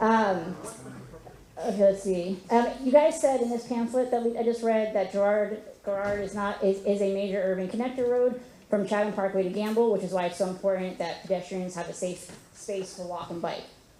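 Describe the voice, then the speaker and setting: Audible room echo surrounds a woman with an American accent. She speaks at a fairly quick pace with ordinary pitch variation. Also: medium pitch for a woman. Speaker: resident at public meeting. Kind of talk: public meeting question. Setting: community meeting with audience. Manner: halting, many fillers.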